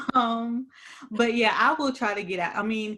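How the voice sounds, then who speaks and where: A woman's unremarkable speaking voice at a moderate pace, on a very clean recording with a silent background. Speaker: HR podcast co-host. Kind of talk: casual chat.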